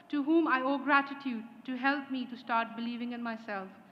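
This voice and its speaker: Audible room echo surrounds a woman speaking at a high pitch and moderate pace with fairly even intonation. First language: not English. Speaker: graduating student speaker. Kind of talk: graduation speech. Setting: ceremony hall with audience. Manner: formal.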